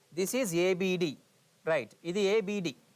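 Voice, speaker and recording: His voice is pitched high. The rise and fall of his pitch is ordinary. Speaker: lecturer. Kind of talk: lecture. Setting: live online class. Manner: code-switching Telugu and English.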